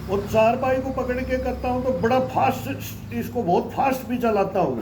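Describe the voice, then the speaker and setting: A man's extremely high-pitched voice, with ordinary pitch variation, carries audible room echo and noticeable background noise. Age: 60s. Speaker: yoga practitioner. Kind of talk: casual chat.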